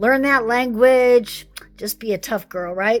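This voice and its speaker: A woman's fairly high voice with an American accent, ordinary pitch variation and a fairly slow pace, over background music. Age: 60s. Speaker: retired psychologist. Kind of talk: personal testimony vlog.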